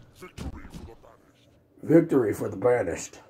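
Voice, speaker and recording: This put-on character voice is raspy. It races along at a very fast pace. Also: man, medium pitch for a man. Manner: loud announcer voice.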